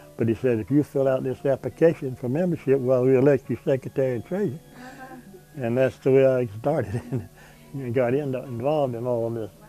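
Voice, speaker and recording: Someone speaks at a fairly quick pace in a South Carolina accent with ordinary pitch variation. Music plays in the background. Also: man, medium pitch for a man. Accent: Southern American (South Carolina). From South Carolina, USA. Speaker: World War II veteran. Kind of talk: oral history interview answer.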